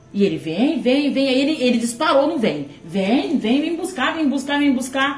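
Over music in the background, a woman with high pitch and ordinary pitch variation speaks at a fairly slow pace with hardly any pauses, and audible room echo fills the recording. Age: 40s. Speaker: interviewee, host's mother. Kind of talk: casual chat. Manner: halting.

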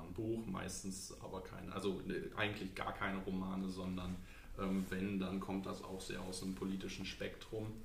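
A man with a very deep, low voice speaks in a flat monotone, with audible room echo around him. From Lower Saxony, Germany. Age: 20s. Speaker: local politics candidate and student. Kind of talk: podcast interview. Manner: hesitant, many fillers.

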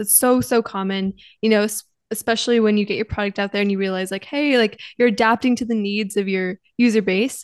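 A woman speaks at a fairly quick pace in a fairly high pitch, with ordinary pitch variation and an unremarkable speaking voice. The sound is dry and close, with no echo. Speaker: podcast host, student. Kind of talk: interview.

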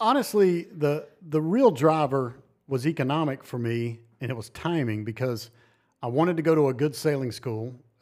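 A man's normal speaking voice, fairly high in pitch, with an American accent, lively intonation and a moderate pace, on a very clean recording with a silent background. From US South, North Carolina. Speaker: greenhouse builder. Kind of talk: casual chat. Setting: in person.

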